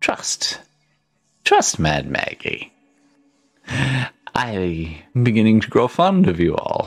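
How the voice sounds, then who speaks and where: The speaker uses a put-on character voice with a low pitch. The delivery is very slow, with long, frequent pauses. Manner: coaxing, falsely sweet.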